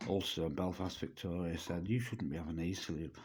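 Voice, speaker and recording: Fairly quick in pace, a man speaks at a very deep, low pitch. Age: 60s. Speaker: vlogger. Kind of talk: personal testimony to camera. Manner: halting, with fillers and repetitions.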